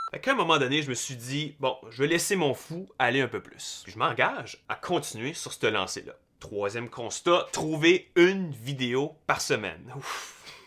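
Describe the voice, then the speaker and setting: A man speaks at a fairly slow pace and a fairly high pitch, in a relaxed yet bright, sharp tone with lively intonation and hardly any pauses. His loudness swings widely on a very clean recording with a silent background. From Canada, New Brunswick (Brayon, Madawaska). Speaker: YouTuber, tech content creator. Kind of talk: casual vlog talk to camera. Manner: relaxed, unscripted.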